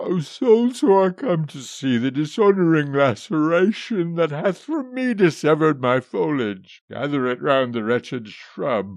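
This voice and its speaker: In a wheezy put-on character voice, a man speaks with hardly any pauses, fairly high in pitch and swinging very widely. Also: moderate pace. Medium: read story. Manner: mournful, wheezing.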